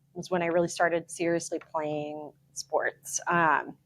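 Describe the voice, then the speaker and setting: In a Chicago accent, a woman speaks at a fairly low pitch. She keeps a fairly slow pace. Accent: US Midwest (Chicago). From Chicago area, Park Ridge, Illinois. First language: Ukrainian. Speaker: wealth manager. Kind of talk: interview conversation. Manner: casual, many filler words.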